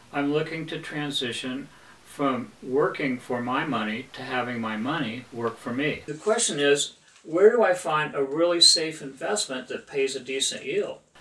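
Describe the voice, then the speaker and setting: A fairly high-pitched man at a moderate pace, ordinary pitch variation, noticeable background noise. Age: 60s. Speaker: self-employed businessman giving testimonial. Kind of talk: scripted testimonial.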